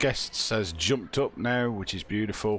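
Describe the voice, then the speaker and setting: A man with a British accent talks with vocal fry. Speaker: gaming channel host. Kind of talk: casual gameplay commentary.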